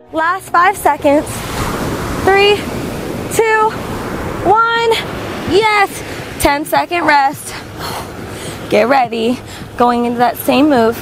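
Amid noticeable background noise, a woman with a high pitch speaks at a very slow pace, with very wide pitch swings and long, frequent pauses. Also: dry sound with no echo. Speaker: fitness instructor. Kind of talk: workout instruction. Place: beach. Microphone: lapel.

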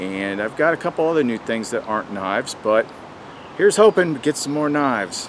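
With light background noise behind him, a man talks at a moderate pace. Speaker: outdoor gear reviewer. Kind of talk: casual vlog chat. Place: forest.

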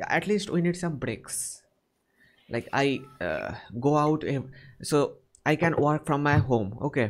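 With a Bengali accent, a man speaks at a fairly high pitch and a fairly slow pace, his lively intonation broken by long, frequent pauses. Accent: Indian English, Bengali-accented. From India. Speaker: online chat host practicing English. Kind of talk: casual chat. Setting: video call. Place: home room. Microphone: studio mic.

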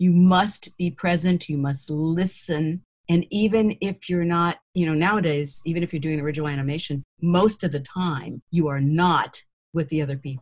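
At a moderate pace, a woman with a fairly low pitch speaks in a somewhat breathy voice. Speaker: voice actor. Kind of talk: interview. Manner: animated.

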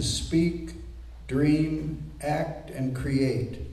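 A man speaks with audible room echo. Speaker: poet reading. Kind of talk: poetry reading. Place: hall. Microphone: camera far.

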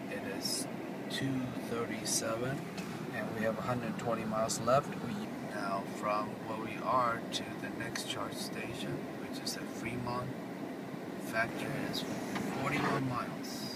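The speech comes at a fairly slow pace with long, frequent pauses, the sound dry with no echo and the background noise loud. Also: man. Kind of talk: casual vlog narration. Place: car. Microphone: phone near.

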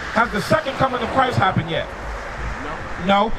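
A man's voice comes through with noticeable background noise. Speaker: street preacher. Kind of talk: street sermon. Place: street. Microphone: handheld.

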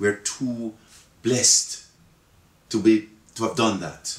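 A man is speaking. There is audible room echo. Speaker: interviewee. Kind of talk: interview answer. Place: office.

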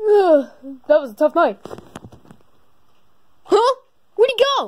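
In a cartoonish character voice, the speaker goes extremely high in pitch with very wide pitch swings at a moderate pace. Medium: puppet.

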